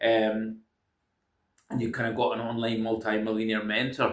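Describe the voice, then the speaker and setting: Speaking at a moderate pace in a Scottish accent, a man delivers his words in a monotone, flat intonation at a medium pitch. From Scotland. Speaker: self-help video creator. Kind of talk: casual monologue. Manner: hesitant, many fillers.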